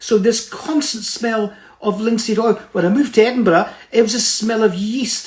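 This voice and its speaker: This man speaks with a Scottish accent. His pitch is high. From Scotland, Fife (Kirkcaldy). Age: 70s. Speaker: motivational speaker. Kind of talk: motivational talk. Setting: Instagram live stream.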